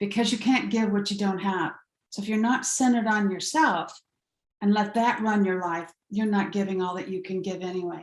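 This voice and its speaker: Somewhat breathy and fairly high in pitch, a woman talks at a moderate pace with ordinary pitch variation. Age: 70s. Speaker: empowerment coach. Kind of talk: podcast interview.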